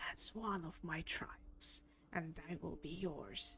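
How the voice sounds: A raspy, put-on character voice at a middle pitch and very slow pace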